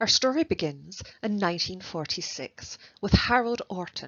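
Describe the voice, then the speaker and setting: With lively intonation, a woman speaks in a plain, everyday voice at a medium pitch. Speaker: university researcher and project lead. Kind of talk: academic presentation narration.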